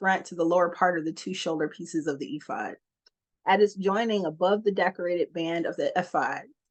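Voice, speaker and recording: A woman with an American accent talks at a fairly quick pace in a medium pitch, with ordinary pitch variation and an unremarkable speaking voice, over a quiet background. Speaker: scripture reader. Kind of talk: reading aloud.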